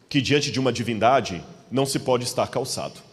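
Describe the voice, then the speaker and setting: A man at medium pitch with a Minas Gerais accent. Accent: mineiro. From Minas Gerais, Brazil. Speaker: preacher. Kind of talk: sermon.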